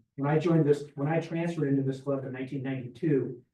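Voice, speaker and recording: Very fast and somewhat breathy, a man speaks at a fairly high pitch with fairly even intonation. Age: 70s. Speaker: Rotary club member. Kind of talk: club meeting announcements. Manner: casual.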